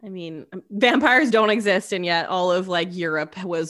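Speaking in a Canadian accent, a woman has a normal speaking voice at medium pitch. Her intonation is lively. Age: 30s. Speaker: podcast co-host. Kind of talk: casual storytelling chat.

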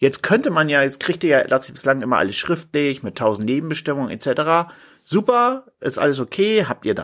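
A man with an unremarkable speaking voice talks at a fairly high pitch on a very clean recording with a silent background. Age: 40s. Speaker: lawyer and podcast host. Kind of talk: solo explainer podcast. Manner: casual with filler sounds.

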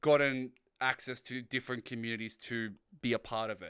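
On a very clean recording with a silent background, a man with an Australian accent speaks at a medium pitch in a bright, sharp tone. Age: young. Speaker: community lead and streamer. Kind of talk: casual chat.

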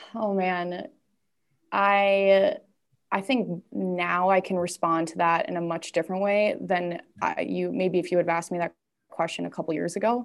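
Against a quiet background, a woman with an American accent and a fairly low pitch speaks at a moderate pace with fairly even intonation. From US Midwest, Twin Cities (Minnesota). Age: 20s. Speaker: women's community founder. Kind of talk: casual interview chat. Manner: halting, many fillers.

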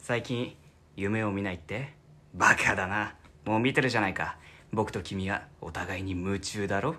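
A fairly low-pitched man's voice, bright and sharp, at a moderate pace with ordinary pitch variation and long, frequent pauses, in a very clean recording with a silent background. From Fukuoka, Japan. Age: 20s. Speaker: theatre troupe member, aspiring voice actor. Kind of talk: casual chat.

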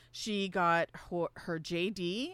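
An ordinary speaking voice with ordinary pitch variation comes through a very clean recording with a silent background. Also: woman. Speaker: political science professor and radio host. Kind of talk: radio talk show, explanatory. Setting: radio studio.

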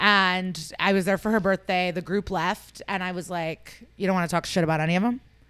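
An American woman speaks at a fairly quick pace with a plain, everyday voice, medium pitch and fairly even intonation, hardly pausing at all. The recording is very clean, with a silent background. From Chicago suburbs, US Midwest. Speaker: stand-up comedian. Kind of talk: casual chat.

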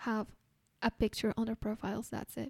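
In a Spanish accent, a woman speaks at a moderate pace. The sound is dry and close with no echo, in a very clean recording with a silent background. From Colombia. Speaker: podcaster. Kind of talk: news-style chronicle narration.

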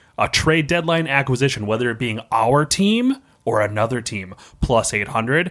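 With lively intonation and an animated tone, a man speaks at a moderate pace in a medium pitch. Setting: studio. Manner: joking, animated.

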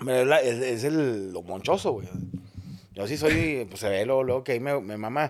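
This man has a plain, everyday voice at a medium pitch. His intonation is lively and his pace fairly slow. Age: 40s. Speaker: comedian. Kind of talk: casual chat.

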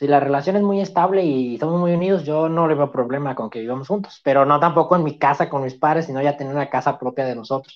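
Speaking at a very fast pace with hardly any pauses, a man uses a fairly high pitch. His pitch variation is ordinary. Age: 20s. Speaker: student guest. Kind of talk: casual interview chat.

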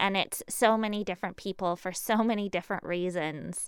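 This woman has a plain, everyday voice and a Canadian accent, with a medium pitch and ordinary pitch variation. The recording is very clean, with a silent background. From Canada, Lower Mainland of British Columbia. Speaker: small business owner. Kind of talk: casual interview.

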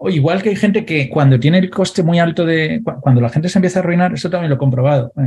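A man talks with ordinary pitch variation. His voice is fairly high for a man. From Valencia, Spain. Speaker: financial advisor and entrepreneur. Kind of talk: interview. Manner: halting, with frequent repetitions.

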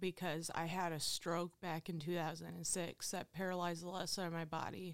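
With a Midwestern American accent, a woman speaks at a moderate pace in a fairly low pitch and a monotone, flat intonation, on a very clean recording with a silent background. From Ohio, Findlay. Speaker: recovering addict. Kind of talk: testimony. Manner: casual, filler-heavy.

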